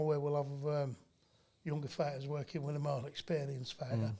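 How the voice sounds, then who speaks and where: A man with a Yorkshire accent speaks at a fairly quick pace in a fairly high pitch, his tone dark and mellow and somewhat breathy. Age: 50s. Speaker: boxing trainer. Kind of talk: casual chat.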